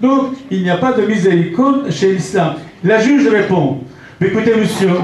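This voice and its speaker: A man with a non-native accent speaks at a fairly slow pace with ordinary pitch variation. There is audible room echo and noticeable background noise. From Aramean community, Middle East. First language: Aramaic (speaking French). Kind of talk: conference talk. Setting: conference hall with audience. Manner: emphatic, impassioned.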